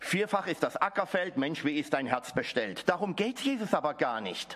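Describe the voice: This man's fairly high, fairly bright voice moves at a moderate pace and makes big pitch swings.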